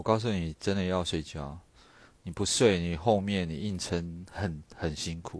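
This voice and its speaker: A man speaks in a very deep, low voice with ordinary pitch variation, recorded very cleanly against a silent background. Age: middle-aged. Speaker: livestream host. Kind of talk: casual late-night livestream chat. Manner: lazy, drawling; nonchalant.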